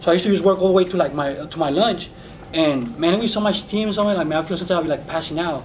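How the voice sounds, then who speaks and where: A man's high-pitched, animated voice at a very fast pace, with ordinary pitch variation and noticeable background noise. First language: Spanish. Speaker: dishwasher, talk show co-host. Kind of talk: casual chat.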